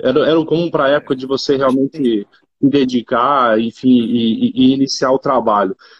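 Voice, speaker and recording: Speaking at a fairly quick pace, a man uses a normal speaking voice with a fairly high pitch. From Brazil, Rondônia. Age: 30s. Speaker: agribusiness executive. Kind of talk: interview.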